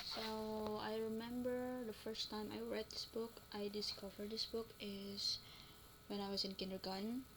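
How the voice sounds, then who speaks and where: Against noticeable background noise, a woman speaks at a fairly high pitch and a fairly slow pace. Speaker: university student. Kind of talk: class presentation. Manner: casual, hesitant.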